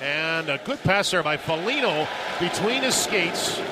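A man speaks in a raised, projected voice with an animated tone and ordinary pitch variation over noticeable background noise. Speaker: radio play-by-play announcer. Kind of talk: live sports commentary. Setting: radio broadcast from the arena. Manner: fast, rhythmic, animated play-by-play delivery.

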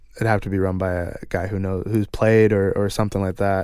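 A man talks at a moderate pace in a plain, everyday voice with a fairly low pitch, in a very clean recording with a silent background. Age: 20s. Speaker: professional hockey player. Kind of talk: casual chat.

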